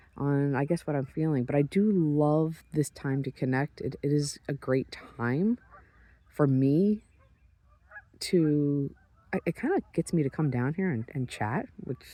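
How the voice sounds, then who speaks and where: A man with a fairly high pitch and a dark, mellow tone talks in a relaxed way with ordinary pitch variation, taking long, frequent pauses, in a dry, close recording with no echo. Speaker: public speaker and sheep breeder. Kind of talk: casual vlog monologue. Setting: outdoors on a beach at sunrise. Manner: fast; relaxed, with pauses. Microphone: handheld phone recording.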